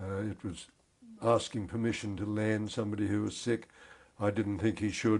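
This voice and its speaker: A man talks with an Australian accent. His tone is dark and mellow. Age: 80s+. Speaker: war veteran. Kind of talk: interview. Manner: halting.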